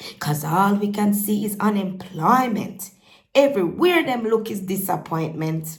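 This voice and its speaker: Lively intonation marks this woman's speech, delivered in a Jamaican accent. Her pitch is medium and her voice somewhat breathy. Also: fairly slow pace. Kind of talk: poetry reading.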